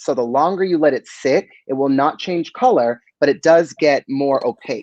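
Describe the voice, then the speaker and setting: A man with an American accent uses a normal speaking voice, fairly high in pitch with ordinary variation, at a moderate pace. The sound is dry and close with no echo. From US East Coast, Boston. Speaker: beauty brand expert. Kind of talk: live stream chat.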